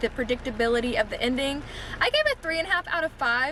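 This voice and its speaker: A loud woman speaks with ordinary pitch variation over noticeable background noise. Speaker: booktuber. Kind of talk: casual vlog review.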